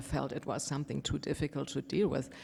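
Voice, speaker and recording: A woman speaks with a German accent in a very deep, low voice. Noticeable background noise runs behind her. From Germany. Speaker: panelist, tech professional. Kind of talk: panel discussion.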